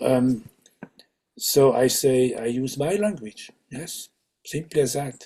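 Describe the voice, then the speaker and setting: Very slow and somewhat breathy, a man talks with long, frequent pauses, a medium pitch, ordinary pitch variation and a dark, mellow tone. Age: 70s. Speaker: Sufi teacher. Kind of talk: interview conversation. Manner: halting, with many fillers and restarts.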